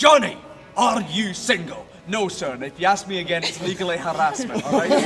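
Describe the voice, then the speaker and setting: A man with a Scottish accent talks at a fairly quick pace in a high pitch with lively intonation. Noticeable background noise and audible room echo surround him. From Scotland, Edinburgh. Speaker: ghost tour guide. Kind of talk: guided tour performance. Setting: outdoors at night with tour group. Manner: animated.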